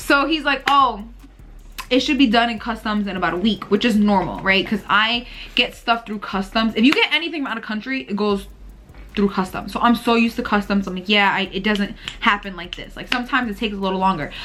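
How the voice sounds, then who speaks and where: Against noticeable background noise, a woman talks in an animated tone at a very fast pace, her pitch fairly high and its variation ordinary. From Puerto Rican heritage, US. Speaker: vlogger and small business owner. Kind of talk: casual vlog chat.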